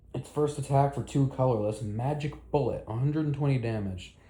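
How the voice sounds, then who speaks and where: Dark and mellow in tone, a man's voice sits at a medium pitch and is somewhat breathy. His pitch varies in an ordinary way. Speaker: Pokemon card content creator. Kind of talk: casual commentary reacting to card leaks. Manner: fast.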